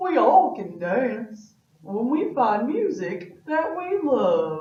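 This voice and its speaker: In a put-on character voice with a high pitch and very wide pitch swings, a woman speaks at a very slow pace with a slight echo. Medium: read story.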